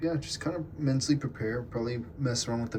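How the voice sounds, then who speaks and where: Very fast speech carries ordinary variation in pitch. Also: man. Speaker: vlogger and small agency owner. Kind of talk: casual vlog. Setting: basement restroom at home. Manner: casual, rambling pace.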